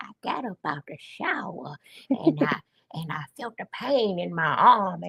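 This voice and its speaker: This is an assumed character voice, pitched in the middle range. It unfolds at a fairly slow speed. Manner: telling a dramatic story.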